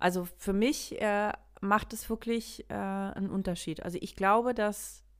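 At a moderate pace, a woman with a medium pitch talks in an animated tone. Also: very clean recording, silent background. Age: 40s. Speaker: podcast co-host. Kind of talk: casual chat. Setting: dim room, lamp on her face.

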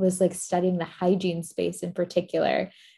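A woman with an American accent has a dark, mellow tone and a fairly low pitch. Her intonation stays monotone and flat. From Florida, Tampa. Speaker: period care brand founder. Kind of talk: interview conversation.

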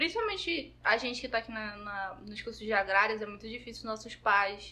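The pace stays moderate. Its tone comes across bright and sharp. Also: woman. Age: 30s. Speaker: podcast co-host. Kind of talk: casual chat.

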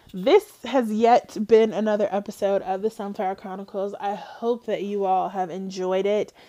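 A woman is speaking. Her pace is moderate. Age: 20s. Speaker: podcast host. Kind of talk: solo podcast monologue.

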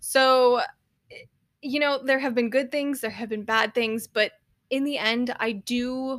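The speaker has an unremarkable speaking voice with ordinary pitch variation at a moderate pace. The recording is very clean, with a silent background. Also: woman. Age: 30s. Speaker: podcast host and writer. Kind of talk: solo podcast monologue. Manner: casual, frequent laughs and fillers.

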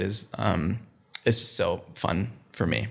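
Speaking with an American accent, a man with a fairly low pitch is heard in a very clean recording with a silent background. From US Midwest, Minnesota. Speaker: creative professional, father. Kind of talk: casual interview. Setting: podcast. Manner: hesitant, many fillers.

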